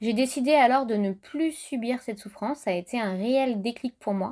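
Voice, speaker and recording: Ordinary pitch variation comes at a fairly slow pace in a very clean recording with a silent background. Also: woman. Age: 30s. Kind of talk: podcast monologue.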